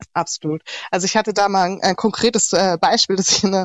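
In a plain, everyday voice, a woman of medium pitch talks at a fairly quick pace with ordinary pitch variation. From Germany, Heilbronn (Baden-Württemberg). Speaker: interview guest. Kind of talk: casual interview.

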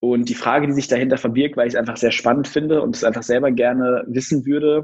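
At a fairly quick pace, a man with a plain, everyday voice speaks in a medium pitch with ordinary pitch variation. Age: 20s. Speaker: entrepreneur. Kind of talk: interview.

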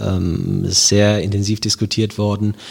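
The voice speaks at a very slow pace with a monotone, flat intonation. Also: man. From Germany, Wiesbaden (Hesse). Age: 30s. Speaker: police officer and local election candidate. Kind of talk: interview. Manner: hesitant, many filler sounds.

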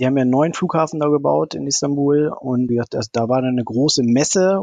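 This is an unremarkable speaking voice at a fairly quick pace with ordinary pitch variation. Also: man. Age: 40s. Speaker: amateur racing drone pilot. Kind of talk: interview.

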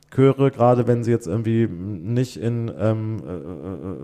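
A man talks at medium pitch with a dark, mellow tone. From Germany, Hesse (Limburg an der Lahn). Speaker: choral arts director. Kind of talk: interview conversation.

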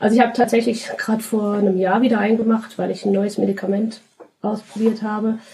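The delivery comes at a very fast pace in a monotone, flat intonation. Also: woman, fairly high pitch for a woman. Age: 30s. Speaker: podcast guest with cystic fibrosis. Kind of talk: interview.

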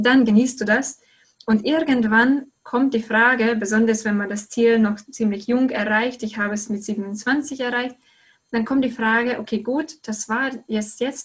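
A woman with a Hungarian accent, fairly high-pitched, with fairly even intonation at a fairly slow pace. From Hungary. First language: Hungarian (speaking German). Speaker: goal-setting coach. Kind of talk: interview. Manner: halting, many repetitions.

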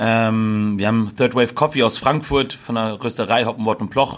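A man speaks in a normal speaking voice at medium pitch, with fairly even intonation. The recording is very clean, with a silent background. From Hesse, Germany (Gießen). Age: 30s. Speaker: burger restaurant owner. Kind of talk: casual interview chat.

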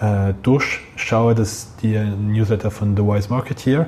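A man talks at a very slow pace. His medium-pitched voice keeps a fairly even intonation. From Geneva, French-speaking Switzerland. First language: French (speaking German). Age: 30s. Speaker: head of a retail loyalty program. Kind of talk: interview.

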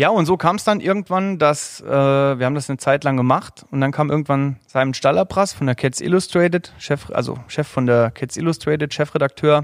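An ordinary speaking voice comes from a man with fairly high pitch and ordinary pitch variation. He keeps a moderate pace with hardly any pauses. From Saarland, Germany. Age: 30s. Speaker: angler. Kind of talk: casual chat.

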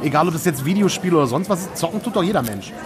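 Over crowd noise and audible room echo, a high-pitched man talks at a very fast pace with lively intonation. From Düsseldorf area, Germany. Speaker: games journalist and podcast host. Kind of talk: casual chat. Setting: recorded at a press event.

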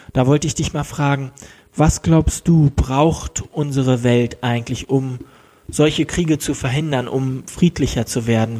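The voice is somewhat breathy with a dark, mellow tone, moving at a fairly slow pace with fairly even intonation. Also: man. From Germany. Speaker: podcast host. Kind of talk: casual interview. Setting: at his parents' home.

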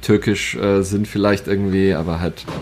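The man's intonation stays monotone and flat. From rural Bavaria, Germany. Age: 20s. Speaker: internet personality. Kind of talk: casual chat.

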